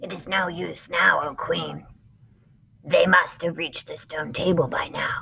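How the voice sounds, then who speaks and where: A raspy, put-on character voice speaks at a moderate pace. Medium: read story.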